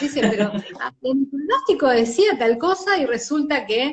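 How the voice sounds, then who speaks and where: A woman with an Argentine accent. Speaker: journalist, commercial announcer, weather presenter. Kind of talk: interview answer.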